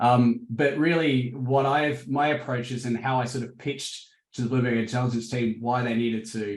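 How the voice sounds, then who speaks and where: Hardly pausing, a man with an Australian accent speaks at medium pitch and a moderate pace with fairly even intonation. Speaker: crypto market analyst. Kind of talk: interview. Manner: hesitant, many fillers.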